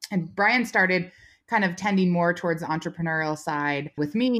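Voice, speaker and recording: A woman's fairly low voice in a Californian accent, captured in a very clean recording with a silent background. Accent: General American (Californian). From US West Coast, Silicon Valley, California. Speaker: rancher and business owner. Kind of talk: casual interview chat.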